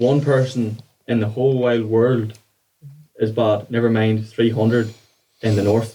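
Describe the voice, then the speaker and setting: A man's medium-pitched, dark, mellow voice with an Irish accent, flat and monotone, very even in loudness, fairly slow, with long, frequent pauses. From Ireland. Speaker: mindset coach. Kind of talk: podcast interview.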